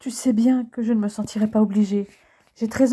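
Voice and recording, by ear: The speaker reads aloud in a natural voice. Intonation remains fairly even throughout.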